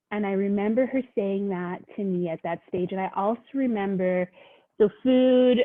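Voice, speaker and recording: This woman has a Canadian accent and an unremarkable speaking voice. She speaks at a moderate pace and medium pitch, with ordinary pitch variation. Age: 40s. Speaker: social worker. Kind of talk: podcast interview.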